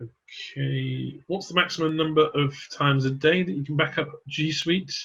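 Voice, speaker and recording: The man's voice comes through somewhat breathy, his delivery fairly even in intonation and moderate in pace. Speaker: product presenter. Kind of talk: webinar Q&A. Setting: online webinar.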